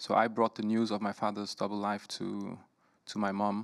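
A man speaks with a fairly low pitch. His intonation is monotone and flat, and the background is quiet. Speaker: documentary filmmaker. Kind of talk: panel discussion answer. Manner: hesitant, repeats words. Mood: thoughtful, personal. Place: stage. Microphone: handheld.

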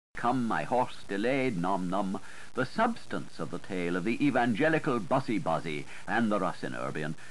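This man has a fairly low pitch with vocal fry. His pitch swings very widely. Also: moderate pace. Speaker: audiobook narrator. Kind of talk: audiobook literary reading.

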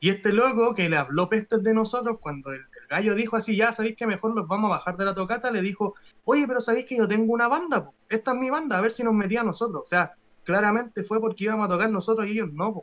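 A man talks at a very fast pace and a high pitch, with ordinary pitch variation. His loudness swings widely. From Chile. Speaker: metal band musician; guest. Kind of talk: casual interview chat; interview answer. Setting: live stream video call. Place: home room. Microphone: video call.

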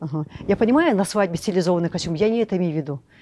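A woman speaks very fast in a dark, mellow tone. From Kalmykia. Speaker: ethnographer and lecturer on Kalmyk customs. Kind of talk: lecture. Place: classroom. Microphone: lapel.

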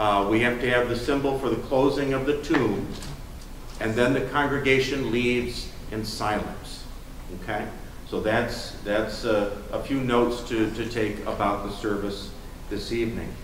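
A man at a moderate pace with fairly even intonation, audible room echo and light background noise. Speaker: pastor giving announcements. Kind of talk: service announcements. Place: church.

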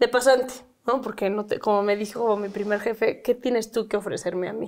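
A woman with a Mexican accent and a fairly high pitch, fairly quick pace, quiet background. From Mexico. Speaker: activist and psychologist; guest. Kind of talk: interview. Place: home room. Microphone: lapel.

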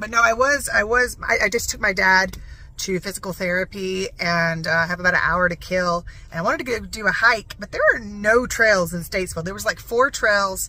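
Ordinary pitch variation at a fairly quick pace, in a dry sound with no echo. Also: woman. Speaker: vlogger. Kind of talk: casual vlog chat. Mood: playful, joking. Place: car. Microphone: phone near.

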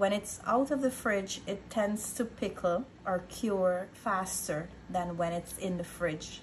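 Somewhat breathy speech comes at a fairly slow pace over light background noise. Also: woman. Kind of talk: tutorial. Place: kitchen. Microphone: phone near.

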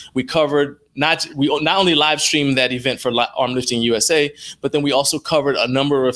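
The speaker is a man. He talks fairly quickly. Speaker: interview guest. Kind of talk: interview answer.

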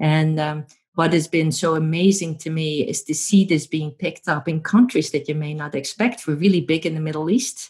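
In a Dutch accent, the somewhat breathy voice keeps a moderate pace with hardly any pauses and ordinary pitch variation over a quiet background. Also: woman, very deep, low pitch for a woman. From Netherlands. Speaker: professor. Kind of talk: interview. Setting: remote call. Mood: warm, cheerful. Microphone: earbuds.

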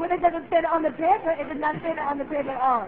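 A woman's voice with ordinary pitch variation amid noticeable background noise. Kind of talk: prank phone call complaint. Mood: mock-indignant, complaining. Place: classroom. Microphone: camera far.

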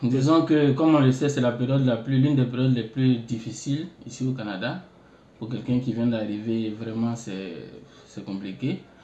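A man at a fairly slow pace, medium-pitched, with ordinary pitch variation. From Côte d'Ivoire, Bouaké. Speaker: international student. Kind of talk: interview. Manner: halting.

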